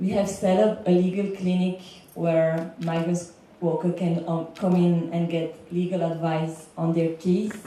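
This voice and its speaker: In a Belgian accent, a woman speaks at a fairly slow pace with a fairly low pitch and fairly even intonation. Noticeable background noise and audible room echo are present. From Belgium. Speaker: legal consultant for migrant workers. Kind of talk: panel talk. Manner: some hesitation and filler words.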